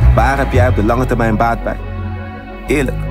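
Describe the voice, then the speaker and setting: A man talks at a fairly quick pace. Music sits in the background and the room echo is audible. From Netherlands. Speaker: spoken word poet. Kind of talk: spoken word poetry performance.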